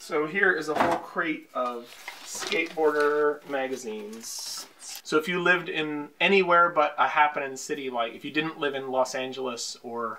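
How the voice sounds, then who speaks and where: A man at a moderate pace with ordinary pitch variation, over light background noise. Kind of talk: interview answer. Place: home room.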